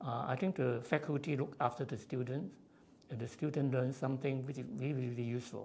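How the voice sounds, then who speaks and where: The voice has a dark, mellow tone with vocal fry and moves at a fairly quick pace. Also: man. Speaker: civil engineer, honorary fellow. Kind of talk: interview. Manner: halting, frequent fillers.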